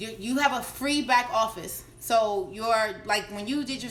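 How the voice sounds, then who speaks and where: The speaker is a woman. Her pitch is fairly high. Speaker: network marketing coach. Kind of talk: live stream Q&A tutorial. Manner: fast.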